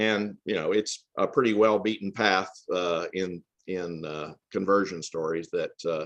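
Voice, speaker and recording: Speaking with an American accent, a man with a very deep, low pitch talks at a fairly slow pace with fairly even intonation. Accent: Southern Appalachian, hillbilly. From Tennessee, US South. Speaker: author. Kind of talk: interview. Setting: remote call from family farm.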